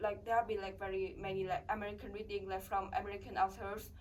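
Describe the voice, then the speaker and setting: The speaker has a Vietnamese accent. The pace is fairly quick. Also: woman. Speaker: international college student. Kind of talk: interview. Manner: halting.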